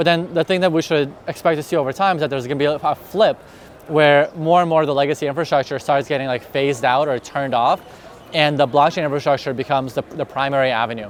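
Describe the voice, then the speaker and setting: A man talks at a very fast pace with a fairly high pitch and fairly even intonation. Noticeable background noise runs underneath. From Russia. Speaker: crypto industry specialist. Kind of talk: conference interview. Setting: crypto conference in Dubai.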